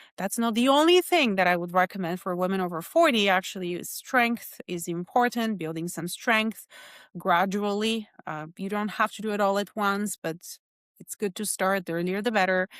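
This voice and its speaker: On a very clean recording with a silent background, dry and close with no echo, a woman speaks at a moderate pace and medium pitch with ordinary pitch variation and big swings in loudness. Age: 40s. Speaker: holistic nutritionist. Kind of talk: interview. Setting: podcast. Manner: hesitant fillers.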